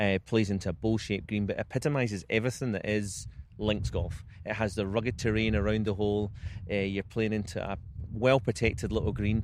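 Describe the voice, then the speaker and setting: In a Scottish accent, a man with a fairly low pitch talks at a fairly quick pace with fairly even intonation. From Scotland. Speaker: golf club general manager. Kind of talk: interview answer.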